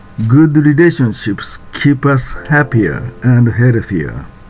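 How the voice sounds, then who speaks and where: With music in the background, a man speaks at a very slow pace, his medium pitch showing ordinary pitch variation. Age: 70s. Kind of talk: informational narration.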